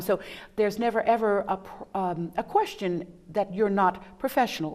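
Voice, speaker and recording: A woman with an ordinary speaking voice, medium pitch and a moderate pace. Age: 60s. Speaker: TV talk show host. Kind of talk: casual interview chat.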